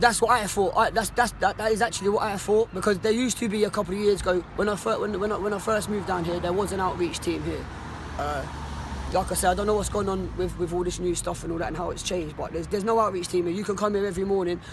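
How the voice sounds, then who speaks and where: A man's high voice in a Cockney accent, very fast with fairly even intonation, over noticeable background noise. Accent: Cockney London English. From London (Cockney). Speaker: homeless man interviewed. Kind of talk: street interview. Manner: halting, many repetitions; quiet, calm.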